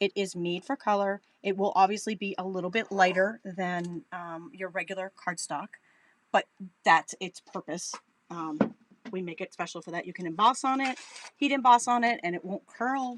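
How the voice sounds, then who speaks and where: The speaker has an American accent and talks at a moderate pace with ordinary pitch variation. Loudness swings widely, and the sound is dry and close with no echo. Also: woman. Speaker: crafting demonstrator.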